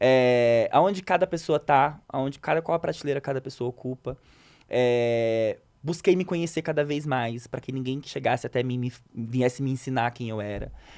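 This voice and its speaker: A man has a plain, everyday voice with lively intonation. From Rio de Janeiro, Brazil. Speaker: psychoanalyst and content creator. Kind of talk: interview answer.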